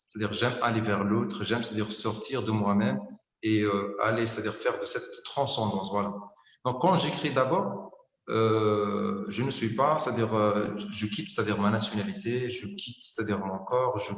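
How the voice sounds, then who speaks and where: A man talks at a moderate pace and medium pitch, with ordinary pitch variation and audible room echo. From Algeria. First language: not French (Algerian mother tongue) (speaking French). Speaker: poet. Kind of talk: interview. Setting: video call. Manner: halting, many fillers.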